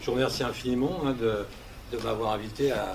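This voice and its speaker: A man at a fairly quick pace, ordinary pitch variation, audible room echo and noticeable background noise. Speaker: retired police commissioner, association president. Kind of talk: press conference statement. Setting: press conference. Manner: hesitant, many fillers.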